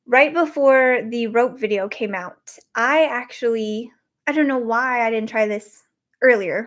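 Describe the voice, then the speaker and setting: A woman with an American accent and ordinary pitch variation, in a very clean recording with a silent background. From Wyoming, US (Cheyenne). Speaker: podcast host. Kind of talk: casual livestream chat. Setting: livestream. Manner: fast.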